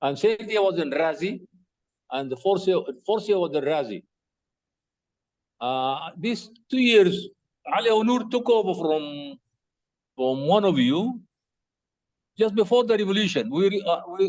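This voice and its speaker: A man with a Sudanese accent, high in pitch, with lively intonation, a fairly slow pace and long, frequent pauses. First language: Arabic. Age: 70s. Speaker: retired teacher. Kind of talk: casual chat. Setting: video call.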